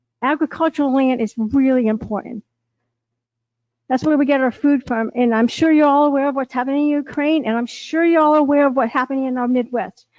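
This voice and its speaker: A high-pitched woman with ordinary pitch variation at a fairly quick pace. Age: 60s. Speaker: resident speaking at public hearing. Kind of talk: public comment. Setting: town board meeting.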